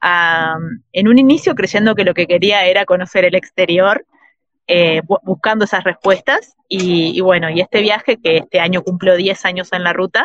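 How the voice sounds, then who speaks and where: A normal speaking voice from a woman at medium pitch, with ordinary pitch variation, a moderate pace, and a dry, close sound with no echo. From Uruguay. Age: 40s. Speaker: traveller and writer. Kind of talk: interview.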